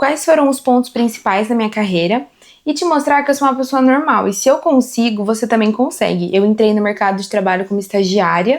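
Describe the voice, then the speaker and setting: A woman speaks at a fairly quick pace, her fairly high voice moving with lively intonation. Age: 20s. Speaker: corporate team leader and content creator. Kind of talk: casual talk to camera about career. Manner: conversational, animated.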